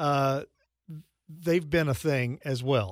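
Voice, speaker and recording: Pitch moves up and down in an ordinary way. It is a plain, everyday voice. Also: man. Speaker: radio host. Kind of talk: casual chat.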